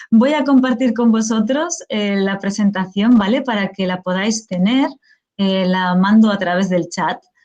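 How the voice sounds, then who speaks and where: The speaker has an unremarkable speaking voice. Delivery runs at a fairly slow pace with ordinary pitch variation. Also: woman, medium pitch for a woman. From Spain. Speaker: professor, teacher trainer. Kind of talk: lecture.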